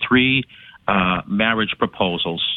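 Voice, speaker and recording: This man has an ordinary speaking voice. His pitch is fairly low, with ordinary variation. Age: 60s. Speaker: caller. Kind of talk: call-in conversation.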